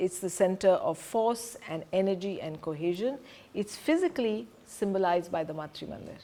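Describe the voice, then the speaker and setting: This woman has a medium-pitched voice and lively intonation. She talks at a moderate pace. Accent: Indian. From Punjab, India. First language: Hindi. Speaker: presenter on spiritual community. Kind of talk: lecture.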